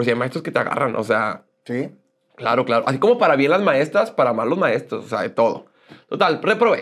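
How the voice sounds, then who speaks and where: A man at fairly high pitch in an animated tone, fairly quick pace and very wide pitch swings, over a quiet background. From northern Mexico, Monclova, Coahuila; Coahuila, Mexico. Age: 30s. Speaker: social media personality; interview guest. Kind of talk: interview, casual chat. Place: studio. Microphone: lapel.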